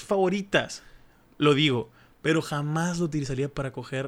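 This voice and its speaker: The recording is very clean and the background silent. A man talks. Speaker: podcast host. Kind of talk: casual chat. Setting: studio.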